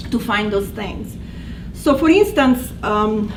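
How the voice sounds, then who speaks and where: A woman with an Italian accent talks at a fairly slow pace, her pitch swinging very widely. Background noise is noticeable, and the room echo is audible. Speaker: language instructor. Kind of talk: presentation. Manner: halting.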